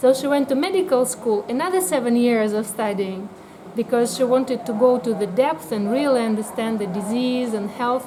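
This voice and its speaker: Amid noticeable background noise, a woman with a Russian accent speaks high-pitched at a moderate pace with lively intonation. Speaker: biotherapy practitioner. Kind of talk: interview. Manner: hesitant, many fillers.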